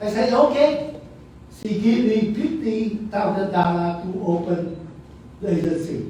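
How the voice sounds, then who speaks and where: Audible room echo surrounds a man speaking fairly slowly at a high pitch with ordinary variation. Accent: strong Vietnamese. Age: 80s+. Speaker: museum founder. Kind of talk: speech at event. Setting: auditorium with audience.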